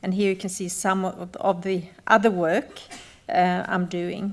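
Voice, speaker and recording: At a fairly slow pace, the speaker talks with a slight Australian accent. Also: woman. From northern Sweden (Sami, Gällivare). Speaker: glass artist. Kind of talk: conference talk.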